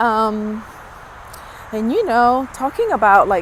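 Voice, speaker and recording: Over noticeable background noise, a woman with a Spanish accent talks at a fairly slow pace, her fairly high pitch showing ordinary pitch variation. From Dominican Republic, moved to New York at eleven. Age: 50s. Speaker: vlogger. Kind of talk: personal vlog testimony. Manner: casual, hesitant with fillers.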